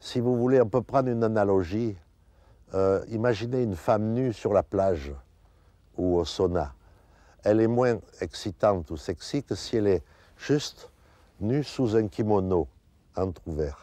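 Over a quiet background, a man with a fairly low pitch and a dark, mellow tone uses lively intonation at a fairly slow pace, with long, frequent pauses and a dry sound with no echo. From France. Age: 70s. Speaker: sculptor. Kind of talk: interview. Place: garden. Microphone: lapel.

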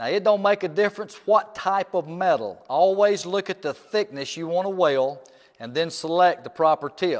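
A man speaks at a moderate pace. His pitch is fairly high.

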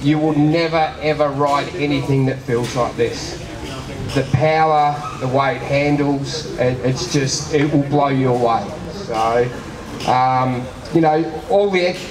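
A man's very slow delivery in fairly even intonation, over noticeable background noise. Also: very even loudness. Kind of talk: speech to an audience at a product launch.

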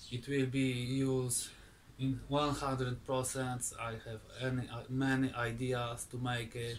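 Against light background noise, a man speaks at a very slow pace in a monotone, flat intonation. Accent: Polish. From Poland. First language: Polish. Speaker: woodturning video maker. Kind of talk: casual vlog; casual vlog chat. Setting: garage workshop. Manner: halting. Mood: grateful, happy. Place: garage.

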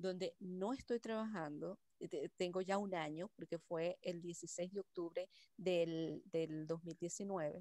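Over a quiet background, a woman speaks at a very slow pace in a dark, mellow tone. Her pitch varies in an ordinary way, and the sound is dry with no echo. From Venezuela. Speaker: workshop participant. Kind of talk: personal testimony. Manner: halting. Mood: reflective, grateful. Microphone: video call.

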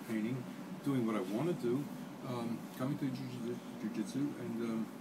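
A man's voice against loud background noise. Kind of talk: interview answer. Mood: reflective, relaxed. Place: gym. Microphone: phone near.

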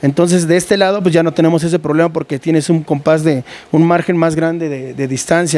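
A man talks at a fairly quick pace in a dark, mellow tone. His pitch varies in an ordinary way. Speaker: lighting technician. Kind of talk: casual interview. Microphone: handheld.

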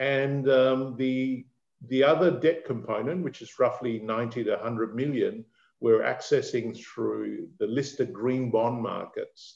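At a fairly slow pace, a man with a medium pitch, vocal fry and a slightly mellow tone talks with fairly even intonation.

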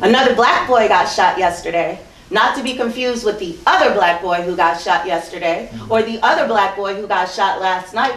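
Over audible room echo, a woman with an American accent talks at a moderate pace with ordinary pitch variation. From US East Coast. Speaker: performance poet. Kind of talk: live poetry reading. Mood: earnest, intense. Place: hall.

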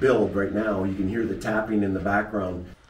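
A man's voice carries some room echo, with faint noise in the background. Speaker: school staff guide. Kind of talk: interview answer. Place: workshop. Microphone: phone near.

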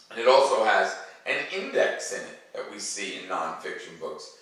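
A man's low pitch and fairly bright tone at a moderate pace, with strong room echo

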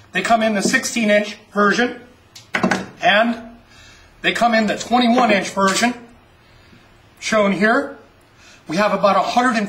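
Noticeable background noise sits behind this man. His voice is high-pitched with ordinary pitch variation. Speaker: auction promoter / host. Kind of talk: auction promo, sales pitch narration. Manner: upbeat, salesy.

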